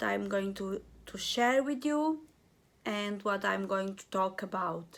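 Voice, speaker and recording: Very slow speech in a Portuguese accent with ordinary pitch variation, on a very clean recording with a silent background. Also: woman. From Portugal. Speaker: crochet and knitting vlogger. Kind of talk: craft vlog, casual show and tell. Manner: halting.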